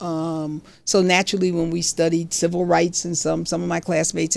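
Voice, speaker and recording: A woman with an American accent talks at a moderate pace in a fairly low pitch, her intonation monotone and flat. The recording is very clean, with a silent background. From Catskills, New York. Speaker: retired judge. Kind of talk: casual storytelling talk to camera.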